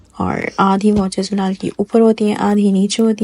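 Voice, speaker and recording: Against noticeable background noise, a woman speaks quietly at a medium pitch with monotone, flat intonation. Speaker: vlogger. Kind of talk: voice-over narration of a vlog. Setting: recording at home in the dark while baby sleeps. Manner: subdued, low energy.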